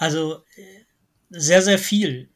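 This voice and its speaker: Very slow speech with fairly even intonation, in a very clean recording with a silent background. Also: man. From Lower Rhine, Germany (Wesel). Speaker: geography professor. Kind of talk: interview. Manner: hesitant, many filler sounds.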